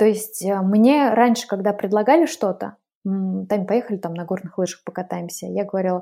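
Heard on a very clean recording with a silent background, a woman speaks at a fairly quick pace. Her tone is dark and mellow, at a medium pitch with ordinary pitch variation. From Russia, Udmurtia (Glazov). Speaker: travel organizer. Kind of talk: casual interview.

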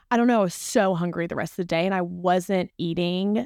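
On a very clean recording with a silent background and a dry, close sound with no echo, a woman with a Southern US accent talks at medium pitch and a moderate pace. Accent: Southern American. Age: 20s. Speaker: nutrition coaching client. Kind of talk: casual chat.

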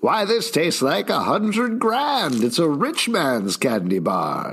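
A man speaks in a put-on character voice, pitched high, with very wide pitch swings at a fairly slow pace. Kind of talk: old-timey. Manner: sales-pitch.

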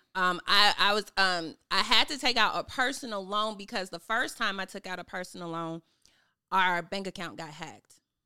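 A woman with a medium pitch and ordinary pitch variation speaks at a moderate pace in a bright, sharp tone, with big swings in loudness. The recording is very clean, with a silent background. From Chicago, South Side. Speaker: therapist and business owner. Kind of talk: casual chat.

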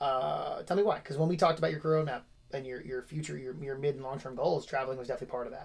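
A man with a somewhat breathy, fairly high voice speaks at a very fast pace with big swings in loudness. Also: ordinary pitch variation. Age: 30s. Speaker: podcast host and gym owner. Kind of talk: casual interview.

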